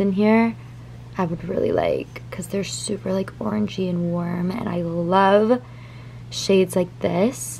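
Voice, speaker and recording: A woman talks at a moderate pace against light background noise. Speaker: lifestyle vlogger. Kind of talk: casual vlog chat. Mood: excited, chatty. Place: home room. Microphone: phone near.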